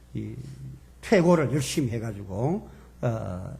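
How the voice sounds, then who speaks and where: Medium-pitched male voice with audible room echo. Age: 70s. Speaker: seminary professor. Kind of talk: lecture. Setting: church seminar with audience.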